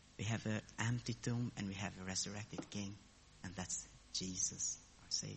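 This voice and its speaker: A man with a fairly low pitch speaks at a moderate pace over noticeable background noise. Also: ordinary pitch variation. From abroad, a different country. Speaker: lay preacher. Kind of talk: sermon.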